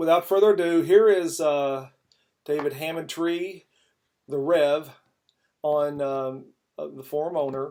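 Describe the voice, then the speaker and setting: With a slight Kentucky accent, a man speaks at a very slow pace in a fairly high-pitched, dark, mellow tone, his fairly even intonation marked by long, frequent pauses and big swings in loudness. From Kentucky, Louisville. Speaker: podcast host. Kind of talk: casual chat.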